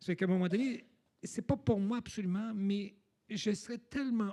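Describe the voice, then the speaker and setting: The tone is dark and mellow, and the intonation fairly even. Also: man. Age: 60s. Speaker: person living with HIV. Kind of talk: panel discussion. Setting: stage with audience, livestreamed. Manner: halting.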